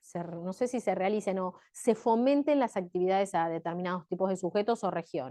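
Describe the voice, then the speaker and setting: A dark, mellow tone with lively intonation and hardly any pauses. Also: woman, medium pitch for a woman. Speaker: tax law lecturer. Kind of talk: lecture. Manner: fast.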